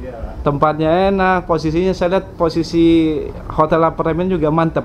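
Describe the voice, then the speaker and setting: Monotone, flat intonation from a man at a fairly high pitch, moderate in pace, over light background noise. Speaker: vlogger. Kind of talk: vlog interview. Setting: student apartment. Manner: hesitant with fillers. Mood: friendly, joking. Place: home room.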